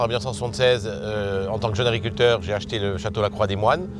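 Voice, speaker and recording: A man with a fairly low voice talks at a fairly quick clip, with audible room echo and music playing in the background. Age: 60s. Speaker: winegrower. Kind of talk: interview testimony. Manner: hesitant, many fillers.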